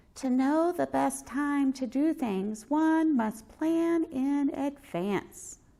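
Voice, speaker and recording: In a put-on character voice, a female-sounding speaker uses a high pitch at a very slow pace with hardly any pauses. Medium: read story.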